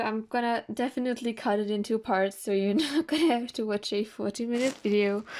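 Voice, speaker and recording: A woman with a German accent, fairly high in pitch, at a fairly quick pace. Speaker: art YouTuber. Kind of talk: sketchbook tour vlog. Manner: casual, hesitant with fillers.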